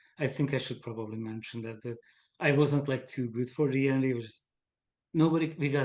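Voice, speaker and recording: Someone speaks at a fairly quick pace with a Hungarian accent. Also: man. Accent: noticeable Hungarian. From Hungary. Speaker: game designer. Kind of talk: casual chat.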